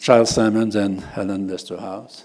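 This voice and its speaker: Speaking fairly slowly with a French accent, a man has a dark, mellow tone and a fairly low pitch. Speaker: university professor and researcher. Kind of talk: conference presentation. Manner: halting, many fillers.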